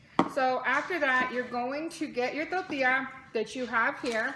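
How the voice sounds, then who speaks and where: With noticeable background noise behind her, a woman speaks at a high pitch with ordinary pitch variation. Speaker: mother. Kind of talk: casual cooking tutorial to camera.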